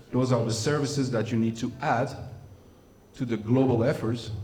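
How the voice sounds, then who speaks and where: A man with a non-native accent speaks at a medium pitch with fairly even intonation. His voice is somewhat breathy, and the room echo is audible. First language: not English. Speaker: humanitarian inclusion specialist. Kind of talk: lecture.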